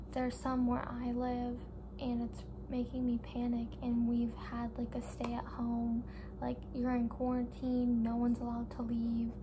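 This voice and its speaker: A soft-spoken woman talks at a fairly slow pace. Audible room echo and noticeable background noise surround her. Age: young. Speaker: vlogger. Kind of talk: casual chat.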